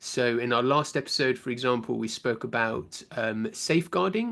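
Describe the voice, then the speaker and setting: A man speaks with a British accent at a medium pitch. The background is quiet. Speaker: science teacher giving a conference talk. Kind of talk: conference lecture. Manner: fast.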